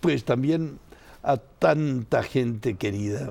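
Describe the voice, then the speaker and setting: Lively intonation from a man with an Argentine accent at a medium pitch. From Argentina, Buenos Aires. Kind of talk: interview.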